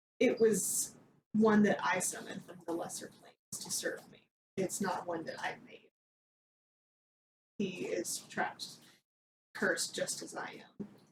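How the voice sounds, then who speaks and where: A raspy, put-on character voice moves at a moderate pace. Long, frequent pauses break up the speech. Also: woman, medium pitch for a woman. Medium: actual play. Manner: formal, measured.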